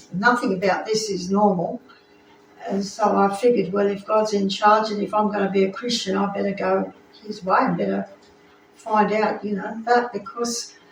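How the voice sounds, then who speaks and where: Over noticeable background noise and audible room echo, a woman speaks in a flat monotone at a medium pitch. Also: moderate pace. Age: 70s. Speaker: preacher. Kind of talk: sermon with personal testimony.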